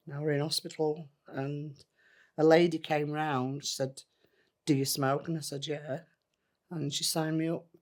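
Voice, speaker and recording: Her very deep, low voice flat and monotone, a woman with a Yorkshire accent speaks at a fairly slow pace with long, frequent pauses in a very clean recording with a silent background. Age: 60s. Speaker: former smoker. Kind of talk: testimony.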